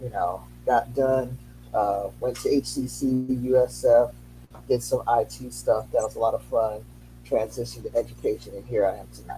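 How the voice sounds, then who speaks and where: The speaker has a Haitian accent, a moderate pace and big swings in loudness. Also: man. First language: Haitian Creole. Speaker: educator. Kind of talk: interview.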